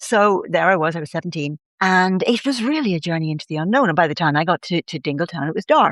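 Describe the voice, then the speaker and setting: In a Dublin accent, a woman with a fairly low pitch talks at a fairly quick pace with lively intonation, her voice dry and close with no echo against a quiet background. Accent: Irish (Dublin). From Ireland, Dublin. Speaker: writer and storyteller. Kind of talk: casual interview chat.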